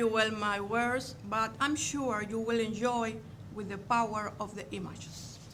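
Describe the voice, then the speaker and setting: A woman with a Cuban accent speaks at a fairly high pitch and a fairly slow pace, with audible room echo and noticeable background noise. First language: Spanish. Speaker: museum curator. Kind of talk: lecture.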